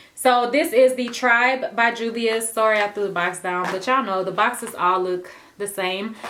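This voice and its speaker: Fairly high female voice with ordinary pitch variation at a moderate pace, over noticeable background noise. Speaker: beauty vlogger. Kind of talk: casual product haul.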